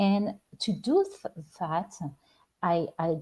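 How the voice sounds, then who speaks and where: A woman speaks with a French accent at a medium pitch. Her tone is dark and mellow, and somewhat breathy. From France. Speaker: spiritual life coach. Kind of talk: live-stream talk show monologue. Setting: live stream. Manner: halting, with many repeated words and fillers.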